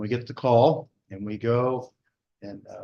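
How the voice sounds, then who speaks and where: Speaking in an American accent, a man has a medium pitch and a dark, mellow tone. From US. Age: 60s. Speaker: fire service veteran and institute director. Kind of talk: symposium presentation. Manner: soft-spoken; halting.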